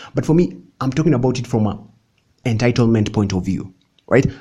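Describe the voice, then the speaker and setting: Speaking at a fairly quick pace, a man uses medium pitch and ordinary pitch variation. His dark, mellow tone is somewhat breathy. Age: 20s. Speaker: YouTuber. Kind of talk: vlog monologue. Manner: animated.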